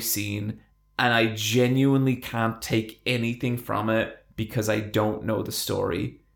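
With an Irish accent, a man speaks at a moderate pace and medium pitch in a very clean recording over a silent background. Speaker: podcast co-host. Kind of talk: casual chat.

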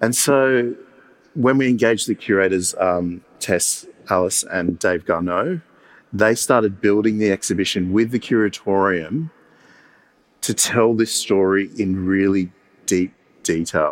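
A fairly low male voice at a fairly slow pace, with ordinary pitch variation, very even loudness, and long, frequent pauses. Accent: Australian. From Sydney, Australia. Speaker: museum director. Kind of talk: panel discussion.

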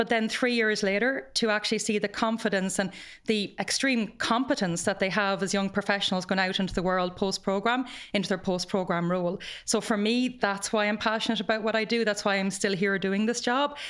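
A woman with an Irish accent speaks at a fairly quick pace, her medium pitch and fairly even intonation held at very even loudness on a very clean recording with a silent background. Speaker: graduate program head, former teacher. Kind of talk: podcast interview.

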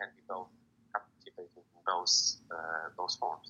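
A man talks at a fairly slow pace with an Arabic accent. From Morocco. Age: 20s. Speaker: student poet. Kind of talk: interview. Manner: halting.

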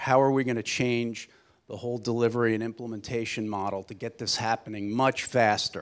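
A man with a plain, everyday voice, medium pitch, moderate pace and fairly even intonation, on a very clean recording with a silent background. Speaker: energy company executive. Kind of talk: panel presentation. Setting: stage with audience.

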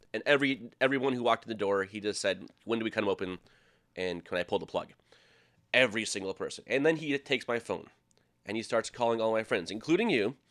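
Very fast, a man with an American accent speaks at medium pitch with ordinary pitch variation. The recording is very clean, with a silent background. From Minnesota. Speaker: sports TV production worker. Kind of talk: storytelling.

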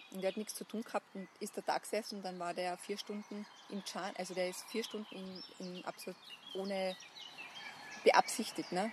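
A woman at medium pitch and a moderate pace, monotone and flat, with long, frequent pauses and noticeable background noise. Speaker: buddhist nun. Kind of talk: interview conversation. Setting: outdoors. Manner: halting. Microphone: poor sound quality.

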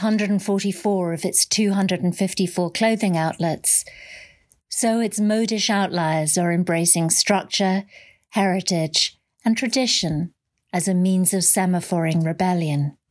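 A woman with a British accent speaks in a playful tone at a fairly slow pace, her pitch medium with ordinary variation. The recording is very clean, with a silent background. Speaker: columnist reading her own column. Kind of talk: literary audiobook reading of a column. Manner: brisk, witty, playful.

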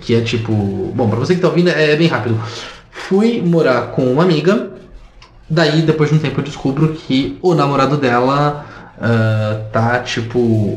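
Noticeable background noise and audible room echo surround a man speaking at a fairly slow pace with ordinary pitch variation. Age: 30s. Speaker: podcast co-host. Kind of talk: casual chat.

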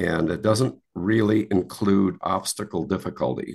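Against a quiet background, a man with an American accent speaks in a very deep, low voice with vocal fry and ordinary pitch variation. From Wisconsin, US Midwest. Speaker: retired golf handicapping administrator and navy veteran. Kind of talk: interview.

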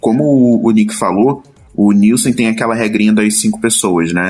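A man has a plain, everyday voice with a fairly low pitch. He talks at a moderate pace. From Rio de Janeiro, Brazil. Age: 20s. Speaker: UX designer. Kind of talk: casual panel discussion.

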